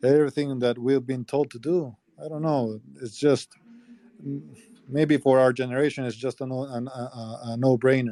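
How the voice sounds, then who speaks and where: Dry and close with no echo, a man's voice comes through at a medium pitch in a dark, mellow tone with a Spanish accent. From El Salvador. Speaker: political campaign manager. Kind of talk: casual chat. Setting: call from inside Congress chamber.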